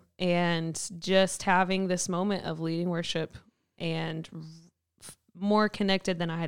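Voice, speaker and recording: With a Kentucky accent, a woman talks at a moderate pace in a fairly low pitch. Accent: Southern US (Kentucky). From Kentucky, Mayfield. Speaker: church worship pastor. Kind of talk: casual interview chat. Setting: studio.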